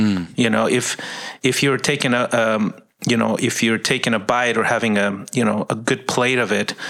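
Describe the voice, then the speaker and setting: A man speaks in a normal speaking voice at medium pitch. His intonation is fairly even and his pace moderate. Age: 50s. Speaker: ministry worker. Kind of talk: casual chat.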